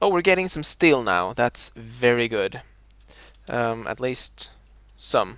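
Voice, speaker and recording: Speech comes at a very slow pace with a Scandinavian accent and long, frequent pauses. The recording is very clean, with a silent background. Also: man. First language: a Scandinavian language. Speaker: video game streamer. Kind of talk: live gameplay commentary. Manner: halting, many fillers.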